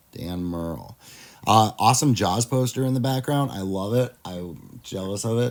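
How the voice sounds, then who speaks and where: Moderate pace and ordinary pitch variation, in a Midwestern accent. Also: man, fairly low pitch for a man. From US Midwest. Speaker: pop culture commentator. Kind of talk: casual reaction chat. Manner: casual, halting with fillers.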